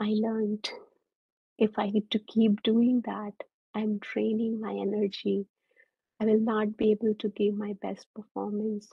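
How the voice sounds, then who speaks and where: Fairly slow and somewhat breathy, a woman's fairly high voice stays monotone and flat, broken by long, frequent pauses. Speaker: mindfulness facilitator and engineer. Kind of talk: presentation.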